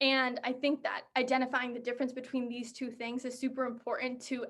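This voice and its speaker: This woman's voice sits high in pitch. She speaks in an American accent. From Massachusetts, south shore of Boston. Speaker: college student speaker. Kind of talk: personal testimony presentation.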